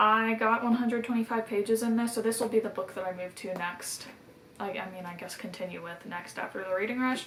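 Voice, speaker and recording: Noticeable background noise sits behind a woman with a fairly high voice. She talks at a fairly quick pace with fairly even intonation. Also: big swings in loudness. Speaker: book vlogger. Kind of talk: casual vlog monologue. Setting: outdoors. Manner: fast.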